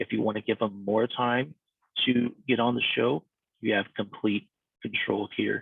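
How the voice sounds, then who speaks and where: This man speaks at a medium pitch, his intonation flat and monotone. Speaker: podcast services consultant. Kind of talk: tutorial. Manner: fast; casual, conversational.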